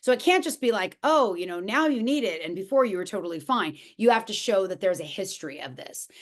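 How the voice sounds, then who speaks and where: In a quiet background, a woman speaks at a very fast pace with a fairly high pitch and very wide pitch swings. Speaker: educational consultant. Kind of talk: webinar presentation. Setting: webinar. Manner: halting.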